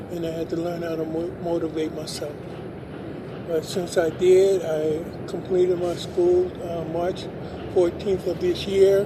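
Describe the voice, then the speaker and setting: In a room with audible echo and noticeable background noise, a man speaks at a moderate pace with a high pitch and monotone, flat intonation. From US West, Los Angeles. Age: 60s. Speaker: adult high school graduate. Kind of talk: interview. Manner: halting.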